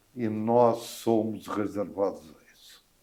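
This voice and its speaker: The pace of this man's speech is very slow. His voice sits at a medium pitch. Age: 80s+. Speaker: videocast host. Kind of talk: casual interview conversation. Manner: animated.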